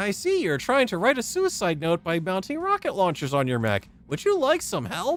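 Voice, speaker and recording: In a put-on character voice with a middle pitch, the speaker moves at a moderate pace with hardly any pauses. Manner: helpful, chipper.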